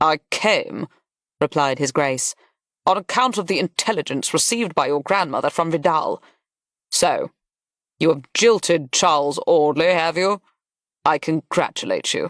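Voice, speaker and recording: A gruff, put-on character voice at a middle pitch. The pace is moderate, broken by long, frequent pauses. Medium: read story. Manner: gruff, snapping.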